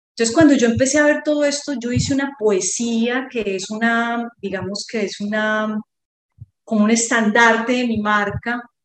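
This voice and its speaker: A woman speaks at a moderate pace in a fairly high voice with fairly even intonation. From Colombia, Medellín. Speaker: artisan. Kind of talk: interview conversation. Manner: hesitant, many fillers.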